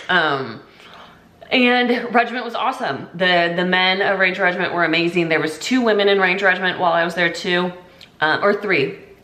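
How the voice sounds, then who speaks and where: Amid noticeable background noise and audible room echo, a woman speaks at a medium pitch. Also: ordinary pitch variation, fairly quick pace. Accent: American. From US Pacific Northwest, Washington State. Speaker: army veteran. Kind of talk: casual vlog monologue. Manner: casual, filler-heavy.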